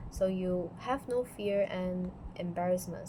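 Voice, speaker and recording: A woman's voice with a non-native accent. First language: not English. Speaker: student. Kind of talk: class presentation. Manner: halting.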